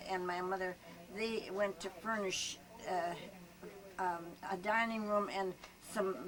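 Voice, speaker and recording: Through noticeable background noise, a woman with an Upper Midwest accent speaks at a fairly slow pace in a monotone, flat intonation with long, frequent pauses. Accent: Upper Midwest American. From US Midwest, Hayward, Wisconsin. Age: 90s. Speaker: retired schoolteacher. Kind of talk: oral history interview. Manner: halting.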